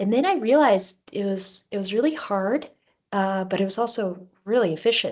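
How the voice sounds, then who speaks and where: Speaking at a moderate pace, a woman with an American accent has medium pitch and an ordinary speaking voice. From Alaska. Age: 30s. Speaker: long-distance cyclist. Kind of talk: talk about own life. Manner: casual with fillers.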